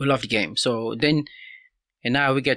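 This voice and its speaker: At a moderate pace, a man with a Haitian accent speaks in a bright, sharp tone with ordinary pitch variation, recorded very cleanly against a silent background. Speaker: soccer coach. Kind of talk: casual interview.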